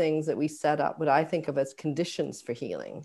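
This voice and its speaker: A woman talks at a fairly quick pace with a fairly low pitch, fairly even intonation and a dark, mellow tone. The recording is very clean, with a silent background. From Scotland, Glasgow. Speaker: oncology nurse and author. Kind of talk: interview.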